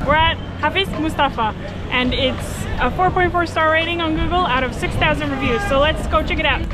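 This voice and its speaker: Clear music plays behind a woman who speaks at a fairly quick pace with ordinary pitch variation. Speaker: travel vlogger. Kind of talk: casual vlog chat. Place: street. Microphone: phone near.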